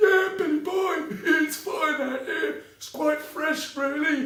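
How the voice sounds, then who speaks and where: Using a put-on character voice, a man pitches his speech extremely high. He goes at a fairly slow pace, with a slight echo around him. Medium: read story. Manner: cheerful, uncomplaining.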